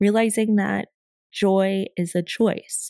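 A woman's dark, mellow voice at medium pitch, very slow with fairly even intonation, dry and close with no echo in a very clean recording with a silent background. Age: 20s. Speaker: podcast host. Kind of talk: solo reflective monologue.

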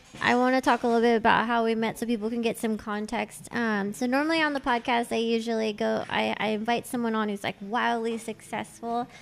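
A woman in a Californian accent speaks fairly quickly at a fairly high pitch with monotone, flat intonation. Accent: Valley Californian. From Los Angeles, San Fernando Valley. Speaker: podcast host. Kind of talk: casual interview chat. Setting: tattoo shop, recorded while guest is being tattooed.

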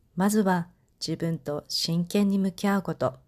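A woman speaks at a fairly low pitch with fairly even intonation, in a very clean recording with a silent background. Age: 40s. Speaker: podcast host and life coach. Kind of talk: scripted monologue.

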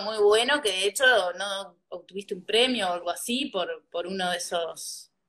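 A woman speaks fairly slowly while music plays behind her. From Uruguay, interior. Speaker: podcast host. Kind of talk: interview.

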